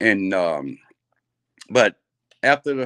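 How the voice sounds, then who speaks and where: A man with an American accent, in a dry, close sound with no echo. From Texas. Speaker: former college football player sharing recovery story. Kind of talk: testimony. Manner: halting.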